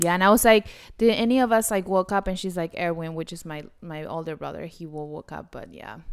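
In a very clean recording with a silent background, a woman with a Spanish accent talks at a fairly quick pace, her fairly low pitch showing ordinary variation. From Argentina. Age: 30s. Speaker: podcast co-host. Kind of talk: casual chat.

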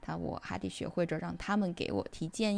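This woman's tone is dark and mellow. Behind her the background is silent, and the recording is very clean. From China. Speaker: podcaster, IT professional. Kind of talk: reading aloud own essay.

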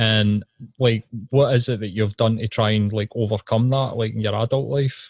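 A man with a Scottish accent talks at a moderate pace in a medium pitch. His intonation is fairly even, and the sound is dry and close with no echo. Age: 30s. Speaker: podcast host and counsellor. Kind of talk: casual interview.

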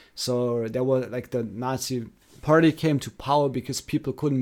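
In a German accent, a man speaks at a moderate pace. His medium pitch carries ordinary variation. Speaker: podcast co-host. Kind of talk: casual chat. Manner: halting.

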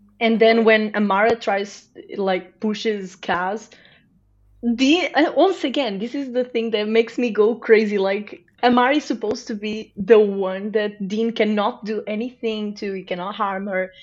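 A woman speaks with a Portuguese accent at a fairly slow pace. Her fairly high voice has ordinary pitch variation against a quiet background. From Portugal. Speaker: podcast guest, TV fan. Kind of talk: casual chat.

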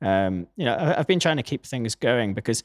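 A man with a British accent is heard in a very clean recording with a silent background and a dry, close sound with no echo. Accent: British, non-American. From Newcastle, northeast England. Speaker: audio engineer and musician. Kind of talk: casual interview. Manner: hesitant, many fillers.

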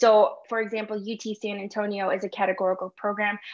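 In an American accent, a woman speaks at a medium pitch with flat, monotone intonation. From Chicago, Illinois. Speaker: medical student. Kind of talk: interview.

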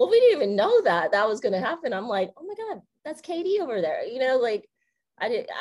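An animated woman with an American accent, high-pitched, with very wide pitch swings, big swings in loudness and a fairly quick pace. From US West Coast. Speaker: college sports communications director. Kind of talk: interview.

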